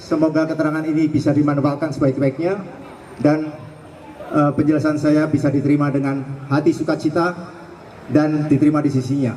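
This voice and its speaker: A man speaks at a fairly quick pace but leaves long, frequent pauses. Background noise is noticeable. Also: very even loudness. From Central Java, Indonesia. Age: 60s. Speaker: adventure cyclist, guest speaker. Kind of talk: talk at a sharing session.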